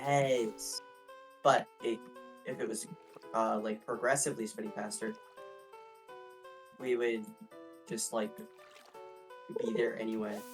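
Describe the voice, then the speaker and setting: With music in the background, the speech moves at a fairly slow pace, broken by long, frequent pauses. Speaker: podcast guest, fellow gaming creator. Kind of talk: casual banter in a comedic gaming podcast.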